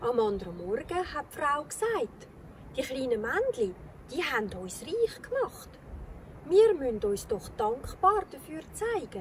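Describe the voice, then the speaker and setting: A woman speaks very slowly in a Swiss accent, her pitch high and swinging very widely. Her loudness rises and falls sharply over noticeable background noise. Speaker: storyteller. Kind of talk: children's fairy tale reading.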